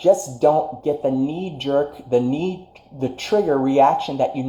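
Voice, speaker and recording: Noticeable background noise sits behind this man. He talks at a fairly high pitch with ordinary pitch variation. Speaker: spiritual life coach. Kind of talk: livestream motivational talk. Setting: live stream.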